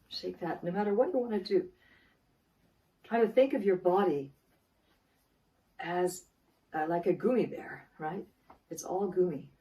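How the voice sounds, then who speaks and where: Pausing long and often, a woman with a dark, mellow tone speaks at medium pitch, with ordinary pitch variation and big swings in loudness. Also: moderate pace. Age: 60s. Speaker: wellness coach. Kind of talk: tutorial.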